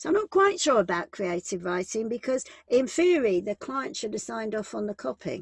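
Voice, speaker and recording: With a British accent, a woman talks at a fairly quick pace with hardly any pauses, her fairly high, somewhat breathy voice making very wide pitch swings in a dry, close recording with no echo. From UK. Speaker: business and employment law advisor. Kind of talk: online workshop presentation.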